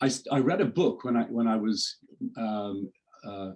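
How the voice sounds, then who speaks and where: Speaking at a medium pitch, a man with an Irish accent has a dark, mellow tone. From Ireland. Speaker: executive coach. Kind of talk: interview. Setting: video call. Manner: halting, many false starts.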